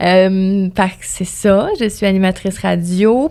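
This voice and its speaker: In a Quebec accent, a woman speaks at medium pitch with monotone, flat intonation. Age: 20s. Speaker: radio host and music promoter. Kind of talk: podcast interview.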